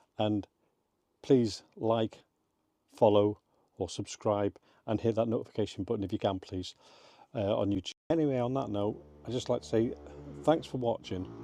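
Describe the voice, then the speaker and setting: A quiet man with an English accent speaks at a moderate pace in a fairly low, dark, mellow voice, with long, frequent pauses and a dry, close sound with no echo. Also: ordinary pitch variation. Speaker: motorhome travel vlogger. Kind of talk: casual vlog. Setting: campsite at night. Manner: quiet, keeping voice down.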